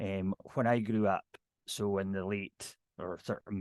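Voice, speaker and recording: A strong Scottish Highland accent in a monotone, flat delivery over a quiet background. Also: man, dry, close sound with no echo. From Scottish Highlands, near Inverness. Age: 50s. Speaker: ceilidh dance caller. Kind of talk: casual talk on video call. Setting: video call. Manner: fast.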